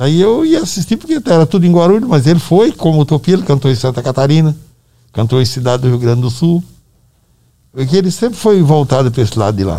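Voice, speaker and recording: At a very fast pace, a man speaks with a fairly high pitch and very wide pitch swings. His voice is somewhat breathy, with a dark, mellow tone. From Brazil, Northeast (Ceará). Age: 70s. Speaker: musician's father. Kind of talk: casual chat. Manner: halting.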